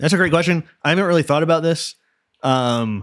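A man at a fairly quick pace, dry and close with no echo, in a very clean recording with a silent background. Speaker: podcast host. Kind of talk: solo podcast stream answering audience questions. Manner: loud; casual, chatty.

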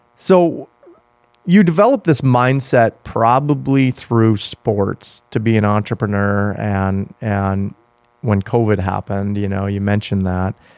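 A man speaks in a normal speaking voice with a fairly low pitch and ordinary pitch variation, the sound dry and close with no echo. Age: 30s. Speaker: podcast host, entrepreneur. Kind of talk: casual interview. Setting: studio.

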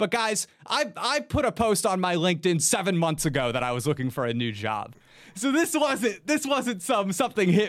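Animated delivery with very wide pitch swings and hardly any pauses, on a very clean recording with a silent background. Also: man. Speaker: video game YouTuber. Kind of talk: casual chat.

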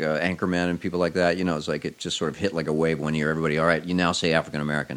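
A man speaks at a very deep, low pitch. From Oklahoma (Ponca City, Tulsa). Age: 50s. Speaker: cartoonist. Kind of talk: casual chat.

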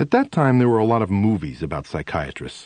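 Here is a natural reading voice. Its pitch variation is ordinary.

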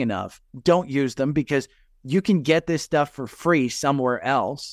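With a New Jersey accent, a man speaks at a fairly high pitch with ordinary pitch variation. The recording is very clean, with a silent background and a dry, close sound with no echo. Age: 50s. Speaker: retired investor and stock podcaster. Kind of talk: casual interview chat.

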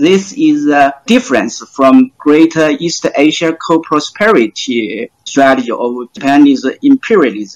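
Speaking with a Chinese accent, a man uses a fairly high pitch with very wide pitch swings at a fairly slow pace. He leaves hardly any pauses, and the sound is dry and close with no echo. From China. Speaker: PhD researcher. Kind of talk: panel discussion. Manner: hesitant, many fillers.

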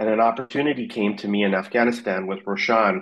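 Over a quiet background, an unremarkable speaking voice proceeds at a moderate pace. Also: man. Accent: Canadian. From Canada, Vancouver. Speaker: fintech company CEO. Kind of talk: interview.

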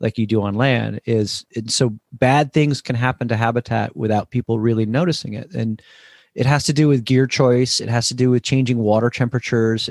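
Captured in a very clean recording with a silent background, a man has a normal speaking voice and a medium pitch. He keeps a moderate pace and fairly even intonation. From US Northeast, New Jersey. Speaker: cookbook author and hunter-angler. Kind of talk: casual interview.

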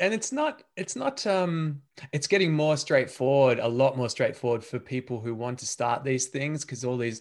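Speaking at a moderate pace, a man with an Australian accent has a medium pitch and ordinary pitch variation. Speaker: podcast host. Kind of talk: interview conversation.

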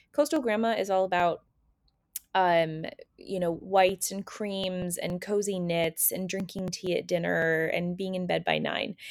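In a very clean recording with a silent background, a woman speaks with fairly even intonation. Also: medium pitch for a woman, fairly slow pace. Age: 40s. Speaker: style blogger and podcast host. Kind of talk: casual solo monologue. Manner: hesitant, many fillers.

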